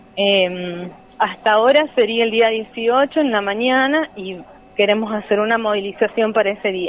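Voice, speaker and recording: Over noticeable background noise, a woman speaks at a fairly high pitch and a fairly slow pace. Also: ordinary pitch variation. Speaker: teacher union activist. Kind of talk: interview. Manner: hesitant, many fillers.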